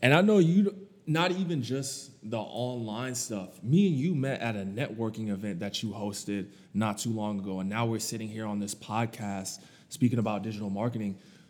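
Here is a normal speaking voice. Its pitch varies in an ordinary way, and the pace is moderate. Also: man, medium pitch for a man. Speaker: podcast host. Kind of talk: casual interview chat.

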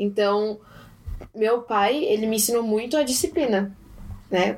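A woman's dark, mellow tone unfolds at moderate speed. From Japan and Brazil. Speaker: guest interviewee. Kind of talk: casual interview.

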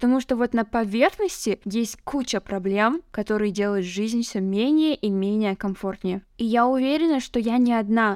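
Here is a woman with a plain, everyday voice, fairly high pitch and lively intonation. The sound is dry and close with no echo, on a very clean recording with a silent background. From northern Kazakhstan. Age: 20s. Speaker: podcaster, translator. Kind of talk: solo podcast monologue. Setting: at home.

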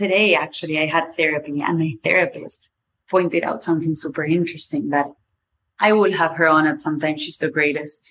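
A woman's very deep, low voice in a strong Argentine accent, fairly quick and with fairly even intonation. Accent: strong Argentinian Spanish accent in English. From Argentina. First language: Spanish. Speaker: podcast host. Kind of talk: solo monologue. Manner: casual, informal with swearing.

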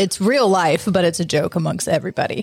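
A woman speaks at a moderate pace with ordinary pitch variation. Hers is an ordinary speaking voice. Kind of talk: casual chat.

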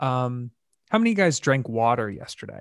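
With a normal speaking voice at medium pitch, a man talks at a fairly quick pace in a dry, close sound with no echo on a very clean recording with a silent background. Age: 20s. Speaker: mental health advocate and startup founder. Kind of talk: podcast interview.

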